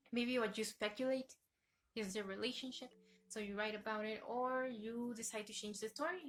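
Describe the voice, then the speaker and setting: Fairly high for a woman, her voice carries a non-native accent at a moderate pace with fairly even intonation. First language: not English. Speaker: YouTuber, fan fiction reviewer. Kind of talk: casual video review. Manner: halting, self-correcting.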